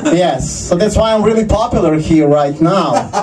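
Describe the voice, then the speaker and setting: With audible room echo and noticeable background noise, a man speaks in a Croatian accent. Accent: Croatian accent, others say sounds Russian. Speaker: stand-up comedian. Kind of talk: stand-up. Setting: stage with audience in a basement.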